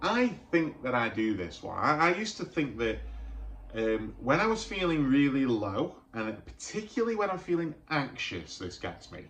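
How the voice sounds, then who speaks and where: The man's pitch is fairly high and swings very widely. He keeps a moderate pace amid audible room echo. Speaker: mental health youtuber. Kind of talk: vlog monologue. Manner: halting, repeats words.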